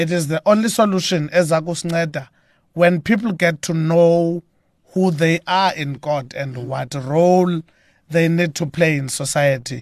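Over a quiet background, someone with a South African accent speaks at a moderate pace with ordinary pitch variation and big swings in loudness, in a dry, close sound with no echo. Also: man, high pitch for a man. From South Africa, Eastern Cape (Mthatha). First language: Xhosa. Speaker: gospel musician. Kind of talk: radio interview. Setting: radio studio.

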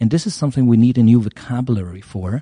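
A man talks with a German accent in a dark, mellow tone and fairly even intonation. The sound is dry and close with no echo, over a quiet background. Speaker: media professor. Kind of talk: interview.

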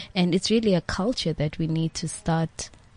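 At a fairly slow pace, a woman speaks in a fairly low, somewhat breathy voice. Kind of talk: casual radio interview.

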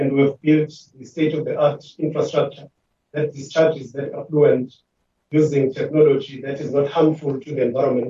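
A man with a fairly high, somewhat breathy voice and a dark, mellow tone speaks at a moderate pace in monotone, flat intonation, with big swings in loudness. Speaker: water board chief executive. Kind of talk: formal committee presentation. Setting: virtual meeting. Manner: formal.

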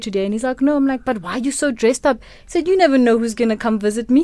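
Lively intonation and a dark, mellow tone come through as a woman speaks with a Botswana accent. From South Africa, Kimberley, Northern Cape. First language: Setswana. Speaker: radio producer. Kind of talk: interview. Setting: radio studio.

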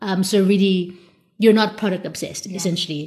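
A woman speaks at a medium pitch in a somewhat breathy voice with fairly even intonation. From South Africa. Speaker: podcast co-host. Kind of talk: casual chat.

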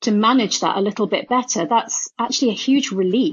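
Somewhat breathy and fairly high in pitch, a woman speaks with a British accent at a moderate pace, her pitch varying in an ordinary way. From UK, of Indian parents. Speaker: neuroscientist and author. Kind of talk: interview.

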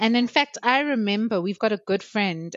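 This woman has a plain, everyday voice, talking at a moderate pace in a medium pitch. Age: 30s. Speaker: podcast co-host. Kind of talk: casual chat.

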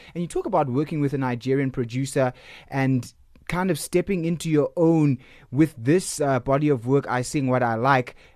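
A man with a normal speaking voice, at a fairly high pitch, ordinary pitch variation and a moderate pace, against a quiet background. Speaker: radio host. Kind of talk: radio interview.

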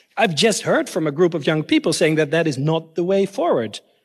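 Lively intonation marks this man's speech at a very fast pace. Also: quiet background. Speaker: government policymaker. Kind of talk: panel discussion. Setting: stage with audience. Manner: halting.

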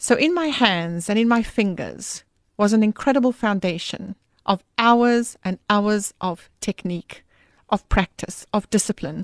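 With a South African accent, a woman speaks at a fairly slow pace against a quiet background in a dry, close sound with no echo. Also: medium pitch for a woman, ordinary pitch variation. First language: Afrikaans. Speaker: author and musician in ministry. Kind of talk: casual radio interview. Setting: radio studio.

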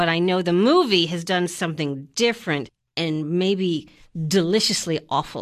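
At a moderate pace and with ordinary pitch variation, an ordinary speaking voice is heard against a quiet background. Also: woman, fairly low pitch for a woman. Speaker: film reviewer. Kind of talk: casual banter.

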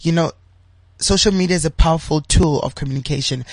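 Over a quiet background, a man speaks in a somewhat breathy voice with fairly even intonation. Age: 30s. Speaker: LGBTI activist and entrepreneur. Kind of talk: interview.

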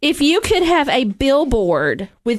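Against a quiet background, a speaker with a Southern US accent goes at a fairly slow pace with very wide pitch swings. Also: woman. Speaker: radio host. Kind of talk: radio interview.

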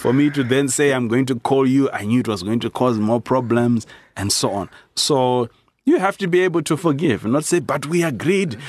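A man speaks in an unremarkable speaking voice. The background is quiet. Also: medium pitch for a man, moderate pace. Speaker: pastor. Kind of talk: casual chat.

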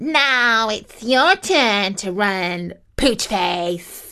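In a put-on character voice, a woman growls at a very slow pace. Her pitch is fairly high. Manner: snarling, menacing.

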